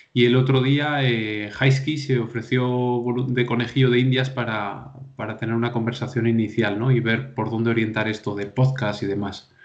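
Amid audible room echo and noticeable background noise, a man speaks at medium pitch and a moderate pace with monotone, flat intonation. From León province, Spain. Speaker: podcast host. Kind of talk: casual chat.

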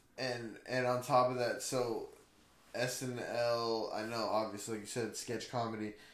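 With audible room echo, a man speaks fairly slowly at a medium pitch in a monotone, flat intonation. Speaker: podcast host. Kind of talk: casual chat.

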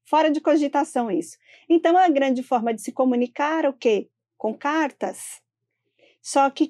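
At a moderate pace, a woman with a high-pitched voice and a dark, mellow tone speaks with lively intonation, the sound dry and close with no echo and the background quiet. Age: 40s. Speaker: building manager. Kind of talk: interview.

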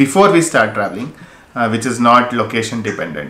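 Very wide pitch swings mark the voice, heard with noticeable background noise. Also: man. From India, Mysore. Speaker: travel YouTuber. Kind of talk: casual chat. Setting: video call. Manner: halting.

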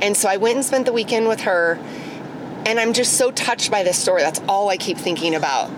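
Noticeable background noise accompanies a woman talking very fast. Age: 40s. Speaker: friend driving host to treatment. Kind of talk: casual chat.

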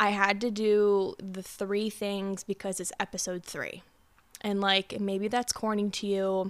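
A woman at a medium pitch, fairly slow and monotone with flat intonation, on a very clean recording with a silent background. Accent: American. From Pennsylvania, US. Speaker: self-love coach and podcast host. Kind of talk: solo podcast monologue.

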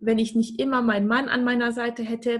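This woman speaks with a high-pitched voice. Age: 30s. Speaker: stock investor. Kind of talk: podcast interview.

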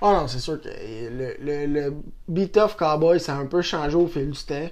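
A man with a Quebec accent at a fairly slow pace. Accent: rural Quebec French. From Quebec, Saint-Tite. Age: 20s. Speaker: rodeo athlete. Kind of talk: casual chat.

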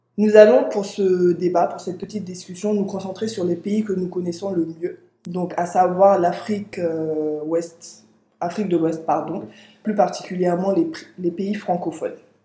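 At a medium pitch and a fairly slow pace, a woman speaks in a somewhat breathy, dark, mellow tone with fairly even intonation. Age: 20s. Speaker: podcast host. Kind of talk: scripted reading; casual discussion.

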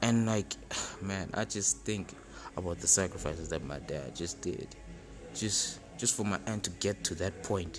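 A man's very deep, low voice with lively intonation at a fairly slow pace, music playing in the background. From South Africa. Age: 20s. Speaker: podcaster. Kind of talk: solo self-help monologue. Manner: halting, many fillers and repetitions.

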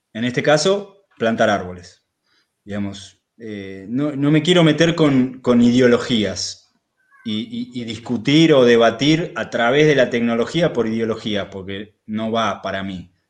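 The speech moves at a fairly slow pace with lively intonation. Loudness swings widely. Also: man, medium pitch for a man. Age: 40s. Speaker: rural settler, permaculture producer. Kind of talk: casual interview.

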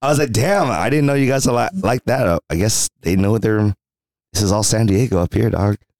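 This man has an unremarkable speaking voice at medium pitch, talking at a moderate pace with lively intonation and very even loudness in a dry, close sound with no echo. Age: 30s. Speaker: podcast co-host. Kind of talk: casual chat. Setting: in person recording.

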